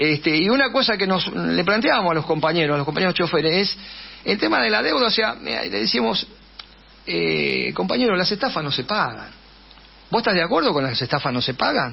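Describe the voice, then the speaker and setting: A man speaks at a fairly quick pace with a Rioplatense accent, his fairly high pitch swinging very widely over noticeable background noise. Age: 70s. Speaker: political candidate and teacher. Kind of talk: radio interview. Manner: fast; hesitant, many fillers.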